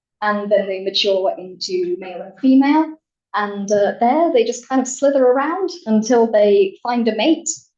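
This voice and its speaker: Music plays behind a woman with a fairly high pitch. She keeps a moderate pace while her loudness swings widely. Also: lively intonation. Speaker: scientist giving a public talk. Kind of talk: popular science talk in a bar. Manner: animated.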